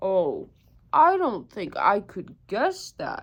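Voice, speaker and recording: A woman puts on a high-pitched character voice. She speaks very slowly with very wide pitch swings. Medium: read story.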